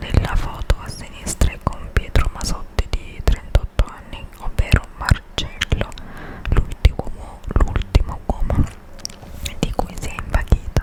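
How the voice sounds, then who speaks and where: A woman whispers at a fairly slow pace. Noticeable background noise sits behind her. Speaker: ASMR creator. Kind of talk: ASMR magazine reading. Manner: whispered.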